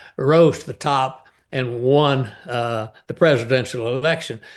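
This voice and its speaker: A man with a Texan accent speaks at a fairly slow pace and medium pitch. His intonation is fairly even, and the background is quiet. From East Texas. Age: 80s+. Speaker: novelist. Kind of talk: interview conversation. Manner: halting, many filler sounds.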